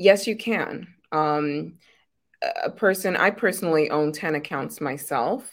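In a very clean recording with a silent background, a woman with an ordinary speaking voice speaks at a fairly low pitch with ordinary pitch variation. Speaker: presenter of a business opportunity show. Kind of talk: promotional business presentation.

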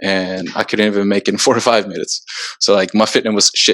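A man's fairly low voice in a Swedish accent, with monotone, flat intonation. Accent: Swedish-tinged American English. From Sweden, moved to US at 14. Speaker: soccer player. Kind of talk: casual chat. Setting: video call.

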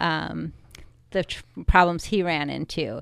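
A woman with a Chicago-area accent and a fairly low pitch, ordinary pitch variation, on a very clean recording with a silent background. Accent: Chicago-area Midwestern American. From US Midwest, Chicago suburbs (Wheaton, Illinois). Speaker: political candidate. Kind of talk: radio interview.

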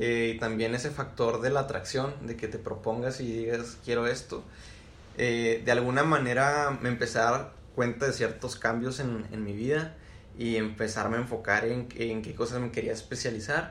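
There is audible room echo around a man speaking with fairly even intonation. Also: medium pitch for a man, moderate pace. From Mexico, Chihuahua. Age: 20s. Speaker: community manager. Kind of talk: casual chat.

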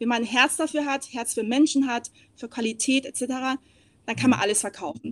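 The speech moves at a moderate pace with ordinary pitch variation, the sound dry and close with no echo. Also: woman. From East Asia, moved to Germany at ten. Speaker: hospitality sales and marketing consultant. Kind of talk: casual chat.

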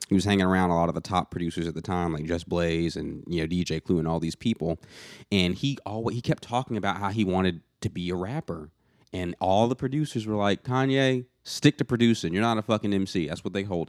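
Very fast and lively, the speech comes with an American accent, dry and close with no echo, on a very clean recording with a silent background. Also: man, very deep, low pitch for a man. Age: 20s. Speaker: podcast host and musician. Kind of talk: casual chat. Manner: even-keeled.

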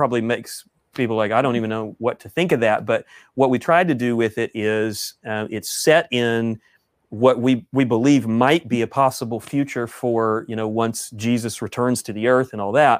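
Recorded very cleanly with a silent background and a dry, close sound with no echo, a man at medium pitch speaks at a moderate pace with fairly even intonation. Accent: Texan. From East Texas. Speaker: author and pastor. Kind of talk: casual interview. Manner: halting, many fillers.

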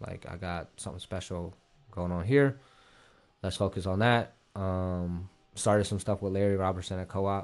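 Speaking in an American accent, a man with a very deep, low voice keeps a moderate pace and fairly even intonation, leaving long, frequent pauses. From Columbus, Ohio. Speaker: streetwear designer. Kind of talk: casual chat. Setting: studio.

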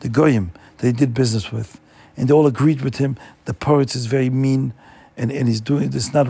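A text is read aloud in a voice that sounds natural.

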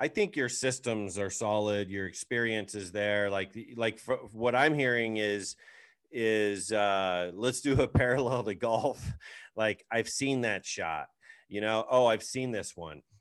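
At a fairly slow pace, a man with a fairly low pitch and ordinary pitch variation speaks against a quiet background in a plain, everyday voice. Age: 40s. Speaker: podcast host and real estate agent. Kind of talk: casual chat.

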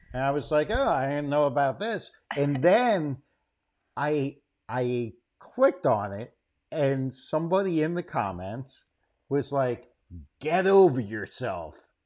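Against a quiet background, a man speaks at a fairly slow pace in a fairly high voice, with lively intonation and long, frequent pauses. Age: 40s. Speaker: comedian and graphic designer. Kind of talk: casual chat.

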